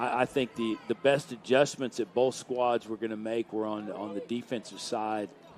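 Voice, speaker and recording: A man speaks at a moderate pace in a flat monotone, hardly pausing, with noticeable background noise behind him. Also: medium pitch for a man. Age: 60s. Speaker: color commentator. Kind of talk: live commentary. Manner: halting.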